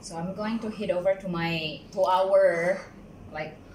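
A woman's very slow speech amid noticeable background noise. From Philippines. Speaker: vlogger. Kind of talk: casual vlog narration. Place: home room. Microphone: phone near.

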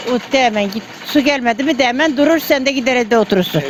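The speech comes at a very fast pace with ordinary pitch variation over noticeable background noise. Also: woman. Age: 80s+. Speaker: village miller. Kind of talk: interview answer.

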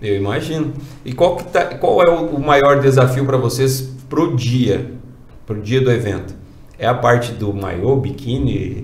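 Against audible room echo, a man speaks fairly slowly at a medium pitch with ordinary pitch variation. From Brazil. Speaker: interviewer. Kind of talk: casual interview. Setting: studio. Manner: animated. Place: studio.

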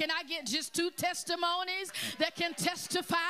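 A woman speaks at a fairly slow pace in a raised, projected voice with an animated tone. Light background noise is audible. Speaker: pastor; preacher. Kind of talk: sermon. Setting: church. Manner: animated, call-and-response preaching. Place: church. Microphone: handheld.

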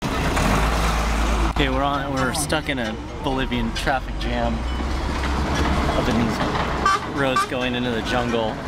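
A man talks at a very slow pace with long, frequent pauses, the sound dry with no echo and loud background noise behind him. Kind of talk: casual vlog chat. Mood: excited, amused, nervous. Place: bus. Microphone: phone near.

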